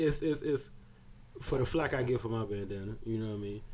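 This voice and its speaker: A man talks at a very fast pace with ordinary pitch variation. There is audible room echo. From Barbados. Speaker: podcast co-host. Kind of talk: casual chat.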